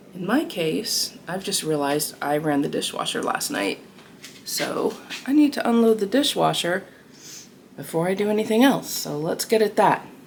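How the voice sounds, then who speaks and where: A woman of medium pitch speaks at a moderate pace with very wide pitch swings. Noticeable background noise runs underneath. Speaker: lifestyle vlogger. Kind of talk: casual vlog narration.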